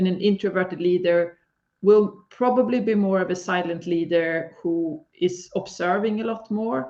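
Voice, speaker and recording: With a Swedish accent, the speaker keeps to a moderate pace. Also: woman, medium pitch for a woman, ordinary pitch variation. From Sweden. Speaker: leadership coach. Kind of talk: live stream interview.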